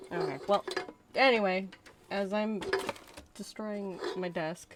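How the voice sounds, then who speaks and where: Noticeable background noise sits behind a woman with a medium pitch. She talks at a very slow pace with ordinary pitch variation. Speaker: game streamer. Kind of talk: live gameplay stream chat. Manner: animated.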